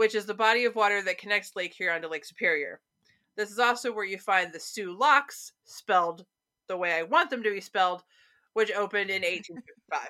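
Speaking with a Midwestern American accent, a woman has a bright, sharp tone at a medium pitch. She moves at a fairly quick pace with ordinary pitch variation. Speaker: podcast co-host. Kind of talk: casual chat about local ghost stories.

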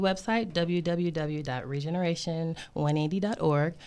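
A woman with an American accent speaks at a moderate pace in a normal speaking voice. The recording is very clean, with a silent background. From Michigan, US (Flint area). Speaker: school psychologist and community school founder. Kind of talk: radio interview.

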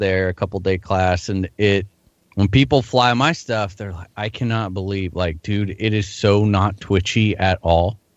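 Here is a man in a normal speaking voice at a fairly low pitch. He keeps a moderate pace and fairly even intonation. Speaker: RC helicopter hobbyist and guest host. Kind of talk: casual chat about hobby.

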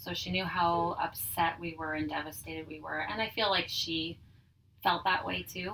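Speaking in a Manitoban accent, a woman keeps a moderate pace and fairly low pitch with ordinary pitch variation. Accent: Canadian (Manitoba). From Manitoba, Canada (Dugald, near Winnipeg). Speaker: business owner. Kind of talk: personal testimony in casual interview. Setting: in person at her tanning salon.

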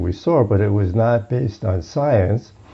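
The voice is somewhat breathy and carries an American accent. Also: man. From US, Brooklyn, New York. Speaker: psychologist. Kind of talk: interview conversation. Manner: hesitant, with fillers.

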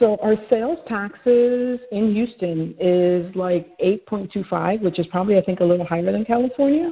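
A woman with an ordinary speaking voice in an American accent, medium pitch, lively intonation, moderate pace and hardly any pauses. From New York City. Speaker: realtor. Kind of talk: casual interview.

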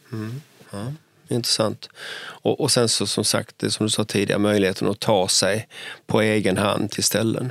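Heard dry and close with no echo, a man with vocal fry and a fairly low pitch talks at a moderate pace with fairly even intonation. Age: 60s. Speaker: city architect and podcast host. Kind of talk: casual chat. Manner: halting, repeats words.

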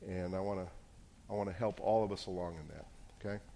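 Audible room echo surrounds a man whose fairly low voice has a dark, mellow tone. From New Jersey. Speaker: pastor. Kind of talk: sermon.

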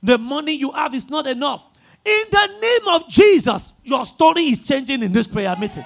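In an animated tone, a man with a Nigerian accent speaks at an extremely high pitch and a moderate pace, with very wide pitch swings. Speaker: preacher. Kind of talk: sermon and call-and-response prayer. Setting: church with congregation. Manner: animated, loud, rousing, repeating lines to the crowd.

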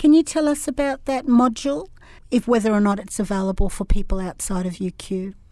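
A woman with an Australian accent, fairly high-pitched with a dark, mellow tone, lively intonation, and a fairly quick pace, on a very clean recording over a silent background. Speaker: podcast host and professor. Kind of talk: interview.

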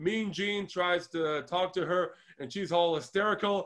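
A man with a high pitch and an Israeli accent. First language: Hebrew. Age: 30s. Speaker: wrestling podcast co-host. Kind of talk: casual review chat.

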